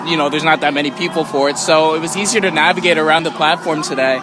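A man speaks at a very fast pace, the sound dry with no echo and noticeable noise in the background. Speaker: theme park vlogger. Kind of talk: casual vlog chat. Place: street. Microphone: phone near.

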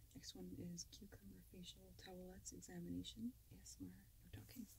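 A fairly quick pace over light background noise. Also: woman, very deep, low pitch for a woman. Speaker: ASMR content creator. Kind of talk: casual talk to camera, reflective commentary over old videos. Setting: lavalier microphone, lo-fi recording. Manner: soft-spoken.

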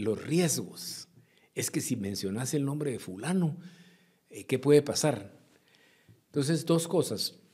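A man talks at a fairly slow pace with long, frequent pauses. His pitch is fairly high, his tone dark and mellow, and the background quiet. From Guatemala. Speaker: former politician and businessman; former politician. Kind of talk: interview. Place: studio. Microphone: studio mic.

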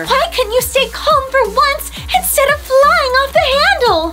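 In a put-on character voice, a woman speaks at a moderate pace, extremely high-pitched and shrill, over noticeable background noise. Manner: scolding, angry.

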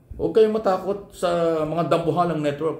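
A man speaks at a fairly high pitch. Room echo is audible. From Philippines. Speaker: vlogger and media commentator; political commentator. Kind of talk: opinion commentary monologue. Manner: animated, rhetorical. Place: home room. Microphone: phone near.

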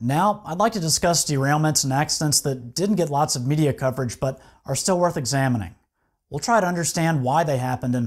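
A man's somewhat breathy voice at a fairly quick pace, with ordinary pitch variation and a quiet background. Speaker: video host. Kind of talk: news report narration. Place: studio. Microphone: lapel.

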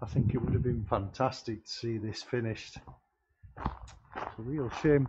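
A man's medium-pitched, slightly mellow voice at a fairly slow pace, with ordinary pitch variation.

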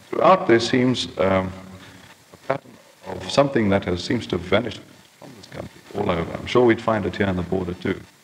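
Over noticeable background noise, a man talks at a fairly quick pace. His voice is fairly low, with ordinary pitch variation. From Transkei, South Africa. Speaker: journalist. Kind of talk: lecture to a society. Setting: old archived tape, poor condition.

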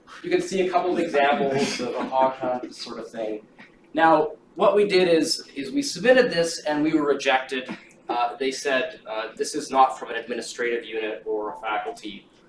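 Amid light background noise and audible room echo, a man speaks at a moderate pace. His loudness swings widely. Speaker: event organizer introducing the lecture. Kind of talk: lecture. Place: classroom. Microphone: camera far.

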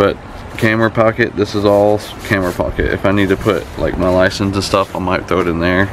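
A man's fairly low, monotone, flat voice at a moderate pace, in a dry sound with no echo and noticeable background noise. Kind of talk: casual gear walkthrough. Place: street. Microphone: camera far.

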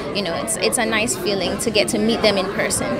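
A woman at a fairly quick pace with ordinary pitch variation, over noticeable background noise. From Jamaica. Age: 20s. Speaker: beauty pageant contestant. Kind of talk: interview answer. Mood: warm, upbeat. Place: hall. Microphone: handheld.

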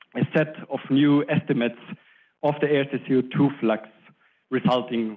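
Ordinary pitch variation runs through a man's fairly slow speech. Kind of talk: lecture. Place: hall. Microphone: handheld.

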